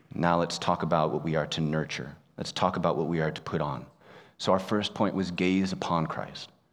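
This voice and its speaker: A man's very deep, low pitch at a fairly quick pace, fairly even in intonation, with audible room echo. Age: 30s. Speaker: pastor. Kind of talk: sermon.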